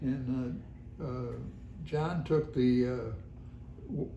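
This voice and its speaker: Very slow and somewhat breathy, a man's medium-pitched voice has a dark, mellow tone and ordinary pitch variation, with audible room echo. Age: 90s. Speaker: longtime resident. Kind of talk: oral history interview. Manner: halting.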